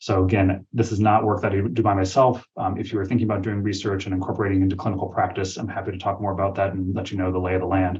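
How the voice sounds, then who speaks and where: Fairly low in pitch and somewhat breathy, a man talks at a very fast pace. He barely pauses and keeps a monotone, flat intonation. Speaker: physician researcher. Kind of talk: webinar presentation and Q&A. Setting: virtual webinar.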